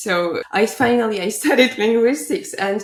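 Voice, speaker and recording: A woman with a Polish accent. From Poland. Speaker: language school founder. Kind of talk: interview. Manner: halting, many repeats.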